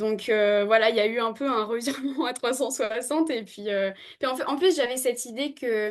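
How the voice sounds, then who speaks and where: A woman with a high-pitched voice speaks at a moderate pace, her pitch varying in an ordinary way. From New Caledonia. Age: 20s. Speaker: veterinary student. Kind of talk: podcast interview. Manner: hesitant, many fillers.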